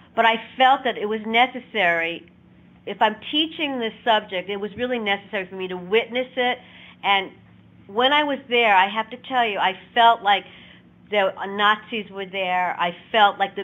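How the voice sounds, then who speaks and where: A woman talks at a moderate pace. Her pitch is fairly high, with ordinary variation. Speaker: Holocaust educator. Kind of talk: educational talk. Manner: teacherly, measured.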